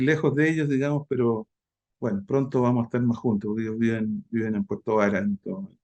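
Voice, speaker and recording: Recorded dry and close with no echo, a man with a Chilean accent speaks in a dark, mellow tone. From Chile, Santiago. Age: 60s. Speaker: meditation instructor. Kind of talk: interview. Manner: halting.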